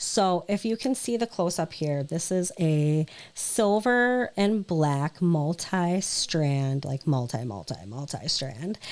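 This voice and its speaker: Her voice is fairly low for a woman, with lively intonation. She speaks very slowly. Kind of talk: sales haul video. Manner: hesitant, many fillers; casual, chatty.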